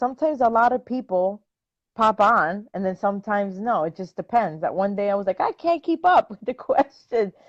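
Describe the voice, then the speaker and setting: A woman with a Spanish accent speaks at a fairly high pitch, moving through very wide pitch swings. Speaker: dog trainer. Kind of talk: casual chat. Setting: live stream video call.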